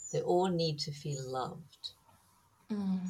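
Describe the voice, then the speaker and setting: Somewhat breathy and fairly slow, the voice moves through very wide pitch swings. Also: woman. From Germany. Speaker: herbal medicine and kinesiology practitioner. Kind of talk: interview.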